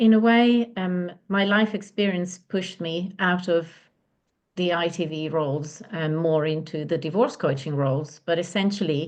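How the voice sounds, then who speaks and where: At a moderate pace, a woman talks at a medium pitch with ordinary pitch variation against a quiet background. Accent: Italian. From Italy. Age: 50s. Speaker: divorce and relationship coach. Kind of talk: interview.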